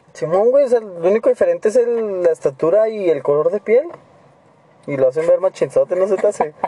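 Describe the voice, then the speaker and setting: Against noticeable background noise, a man with a high pitch speaks fairly quickly with lively intonation. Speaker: podcaster. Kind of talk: casual chat.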